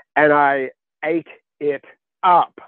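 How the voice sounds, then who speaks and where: The speaker is a man. He has an Australian accent. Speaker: author. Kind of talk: interview. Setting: studio.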